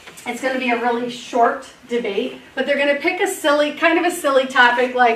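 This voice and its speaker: Over noticeable background noise, a woman speaks at a high pitch and a moderate pace. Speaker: teacher. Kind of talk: presentation to school board.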